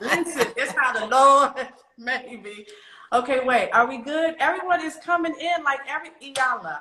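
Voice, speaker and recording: A woman's raised, projected voice, high in pitch, animated in tone, with lively intonation, big swings in loudness and a moderate pace. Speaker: stylist hosting a live interview. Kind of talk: casual live-stream interview.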